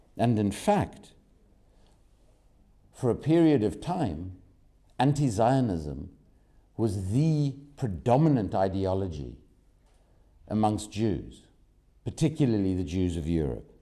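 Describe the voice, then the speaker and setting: Very slowly and with long, frequent pauses, a man speaks in a fairly low, dark and mellow voice with very wide pitch swings, amid audible room echo. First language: not German; English speaker. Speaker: activist speaker at press conference. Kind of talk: press conference statement.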